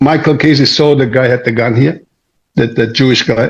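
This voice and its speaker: A man speaks at a moderate pace with ordinary pitch variation, sounding somewhat breathy. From Turkey. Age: 60s. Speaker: martial arts master. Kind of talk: interview storytelling.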